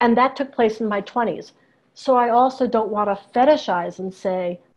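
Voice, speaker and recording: Ordinary pitch variation in a plain, everyday voice, at a moderate pace. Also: woman. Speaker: professor of Slavic languages. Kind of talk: interview on video call. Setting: video call.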